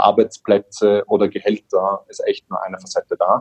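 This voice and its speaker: A man speaks at a moderate pace. The sound is dry and close, with no echo. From Austria, Vienna. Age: 30s. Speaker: social entrepreneur, company founder. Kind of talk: podcast interview.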